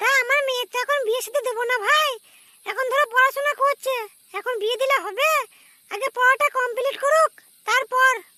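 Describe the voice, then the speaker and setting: This cartoonish character voice sits at an extremely high pitch, moving at a moderate pace with fairly even intonation in a dry, close sound with no echo. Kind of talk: rustic comic dialect. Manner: blunt.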